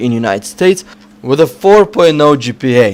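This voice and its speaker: This man's fairly high voice moves through very wide pitch swings. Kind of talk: casual, chatty.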